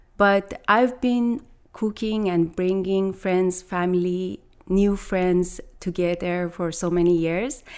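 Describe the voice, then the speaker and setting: A woman with a Persian accent, very slow pace and fairly even intonation. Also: medium pitch for a woman. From Iran. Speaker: private chef. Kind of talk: interview. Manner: halting.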